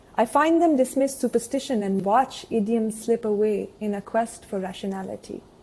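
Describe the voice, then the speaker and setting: A woman's fairly high-pitched, somewhat breathy voice with a dark, mellow tone, ordinary pitch variation and a moderate pace with hardly any pauses. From Kashmir. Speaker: writer and anthropologist. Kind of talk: prepared talk. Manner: formal.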